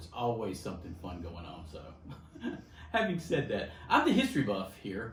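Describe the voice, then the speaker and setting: Amid audible room echo, a man with a fairly low pitch speaks fairly quickly with lively intonation. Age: 60s. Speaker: insurance agency vice president. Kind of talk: interview.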